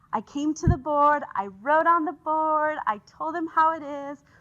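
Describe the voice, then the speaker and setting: A woman's raised, projected voice carries at a high pitch with a bright, sharp tone. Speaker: engineering professor. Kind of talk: conference talk. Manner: fast; animated.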